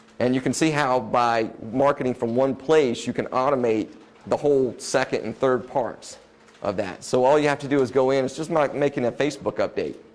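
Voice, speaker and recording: There is noticeable background noise as a man talks at a fairly quick pace. His pitch is medium and his intonation fairly even. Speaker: web design business owner giving a presentation. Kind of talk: presentation to a live audience. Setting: room with live audience. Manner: fast.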